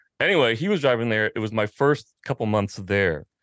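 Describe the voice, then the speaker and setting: With an American accent and a plain, everyday voice, a man talks at a moderate pace with ordinary pitch variation, the sound dry and close with no echo. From Washington, D.C. suburbs (Arlington, Virginia). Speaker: motorcycle magazine publisher. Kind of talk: casual interview conversation.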